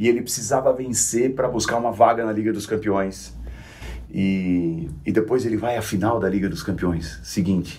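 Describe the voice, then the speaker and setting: This man has a fairly low pitch, vocal fry, ordinary pitch variation and a moderate pace. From São Caetano do Sul, São Paulo, Brazil. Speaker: football commentator. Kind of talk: casual chat.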